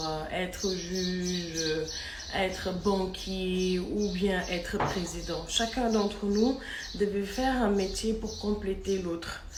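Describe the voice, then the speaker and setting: Against noticeable background noise and audible room echo, a woman speaks at a very slow pace with fairly even intonation. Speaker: vlogger. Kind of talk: video commentary. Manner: louder than before; soft-spoken.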